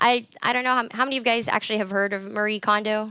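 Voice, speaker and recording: A woman with an American accent speaks at a fairly high pitch in a bright, sharp tone. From US, Colorado. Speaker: conference speaker. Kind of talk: conference talk. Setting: stage with audience. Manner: loud.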